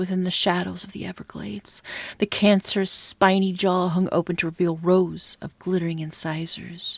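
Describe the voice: The reading aloud is plain, and its intonation stays fairly even.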